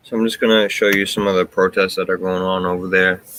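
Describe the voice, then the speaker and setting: A soft-spoken man with a very deep, low voice. His tone is bright and sharp, and his delivery stays flat and monotone. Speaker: political commentary streamer. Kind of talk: live stream commentary. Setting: live stream at home. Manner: soft-spoken, talking low; low energy.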